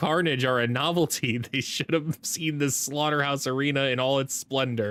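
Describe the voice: The delivery is plain reading aloud. Nothing more is layered onto it.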